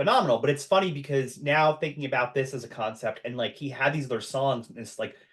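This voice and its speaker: Someone with an American accent speaks at a very fast pace with lively intonation and a somewhat breathy voice. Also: man, hardly any pauses, big swings in loudness. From US, Long Island, New York. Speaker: podcast host. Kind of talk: casual chat.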